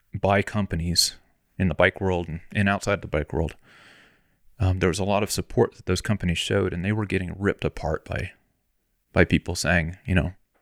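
With an American accent, a man talks at a fairly quick pace in a very deep, low pitch and fairly even intonation. The recording is very clean with a silent background, and the sound is dry and close with no echo. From US South, Florida. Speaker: bicycle frame builder and shop owner. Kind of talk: casual interview. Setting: home garage workshop. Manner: hesitant, many repeated words.

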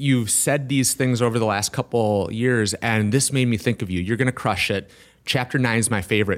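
Energetic in tone, a man with an American accent talks at a fairly quick pace with hardly any pauses, a medium pitch and ordinary pitch variation, in a very clean recording with a silent background. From Wisconsin. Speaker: entrepreneur. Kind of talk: interview conversation.

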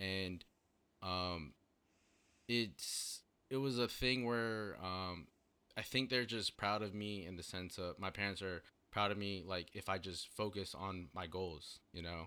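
A man with an American accent, a very deep, low pitch and a bright, sharp tone, at a fairly slow pace with ordinary pitch variation, on a very clean recording with a silent background. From Virginia. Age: 20s. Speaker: graphic designer. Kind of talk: casual chat.

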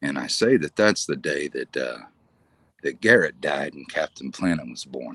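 The voice carries vocal fry at a moderate pace, with a dry, close sound and no echo. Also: man. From Kansas, US. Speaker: wildlife rescuer, former trapper. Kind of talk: podcast interview.

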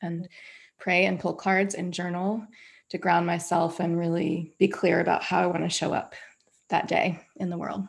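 At a moderate pace, a woman speaks with a fairly low pitch. Vocal fry runs through her voice. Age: 40s. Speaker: anti-racism trainer and yoga teacher. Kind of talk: interview conversation.

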